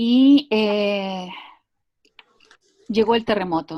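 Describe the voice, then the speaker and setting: A woman's somewhat breathy voice at a very slow pace, dry and close with no echo. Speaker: psychologist and art therapist. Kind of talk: online talk. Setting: video call. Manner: hesitant, many fillers.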